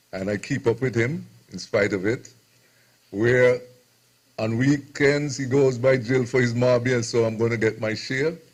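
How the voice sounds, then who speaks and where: At a moderate pace, a man with a medium pitch and somewhat breathy voice speaks with fairly even intonation and long, frequent pauses. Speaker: radio host. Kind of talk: speech at book launch.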